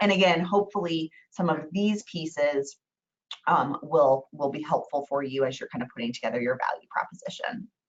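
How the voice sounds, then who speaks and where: Quick and lively, a woman speaks in a very deep, low voice. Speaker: real estate trainer. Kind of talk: webinar training. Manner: fast.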